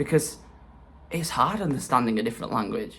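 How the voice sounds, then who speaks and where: He speaks with an English accent. The speaker is a man. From England. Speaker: self-development vlogger. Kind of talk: casual vlog monologue. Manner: hesitant fillers.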